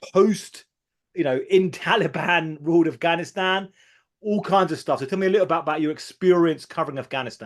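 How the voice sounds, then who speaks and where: At a fairly quick pace, a man with a high pitch speaks with ordinary pitch variation. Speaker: podcast host, journalist. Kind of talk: interview.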